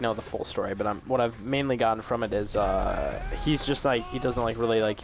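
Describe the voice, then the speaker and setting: Music plays in the background as a man talks. His pitch is medium, with ordinary variation. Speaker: gaming commentator. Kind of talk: gameplay commentary. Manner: halting, many fillers.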